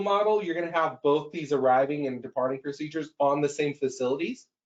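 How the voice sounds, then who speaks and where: With a fairly quick delivery, the man's speech shows ordinary pitch variation. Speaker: software expert presenter. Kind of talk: software tutorial webinar. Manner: fast.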